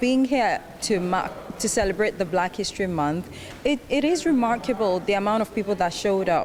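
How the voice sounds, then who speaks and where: With noticeable background noise behind her, a woman talks at a medium pitch and a fairly quick pace with lively intonation. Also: very even loudness. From Nigeria. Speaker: festival attendee, intern. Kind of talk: interview.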